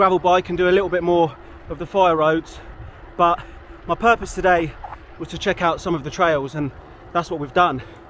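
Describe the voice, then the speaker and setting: Someone talks at a fairly quick pace. There is noticeable background noise. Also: man. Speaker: cycling vlogger. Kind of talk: vlog narration while riding. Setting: outdoors. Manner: casual.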